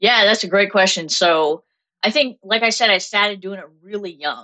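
A woman speaks at a medium pitch with a bright, sharp tone. The sound is dry and close, with no echo. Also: ordinary pitch variation, moderate pace.

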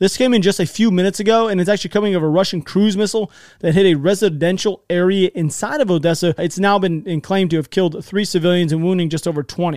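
In a very clean recording with a silent background, a man talks very fast at a high pitch with ordinary pitch variation. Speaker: YouTube war news commentator. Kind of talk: news commentary with map. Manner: animated.

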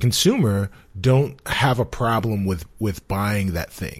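A somewhat breathy man's voice with an American accent, lively intonation and a fairly slow pace. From New York, South Bronx. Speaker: gaming podcast co-host. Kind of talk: casual chat.

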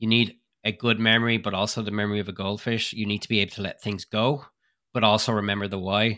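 A man with an Irish accent speaks very fast in a fairly low, bright, sharp voice. His intonation is monotone and flat, and the recording is very clean with a silent background. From Ireland. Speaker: skeleton racer. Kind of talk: interview.

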